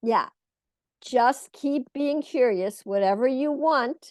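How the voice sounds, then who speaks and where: Against a quiet background, a woman talks at a very slow pace with ordinary pitch variation, the sound dry and close with no echo. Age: 70s. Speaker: spiritual teacher and counselor. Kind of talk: talk show Q&A, spiritual advice. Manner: warm, repetitive emphasis.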